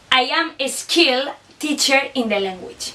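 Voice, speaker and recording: The woman's pitch is high. She talks at a fairly slow pace. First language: Basque or Spanish. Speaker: student teacher. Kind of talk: scripted reflection presentation.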